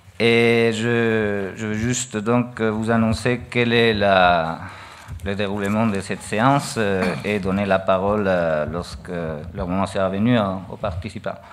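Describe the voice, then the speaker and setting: Speaking very slowly with a Spanish accent, a man holds a fairly low pitch and fairly even intonation. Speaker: university vice-president. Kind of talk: ceremony speech. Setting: award ceremony with audience. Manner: halting.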